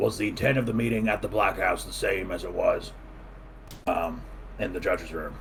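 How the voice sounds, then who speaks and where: A raspy, put-on character voice moves at a fairly quick pace with long, frequent pauses, over clear background noise. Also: man. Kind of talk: courtroom speech. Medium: actual play. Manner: hesitant, filler-heavy.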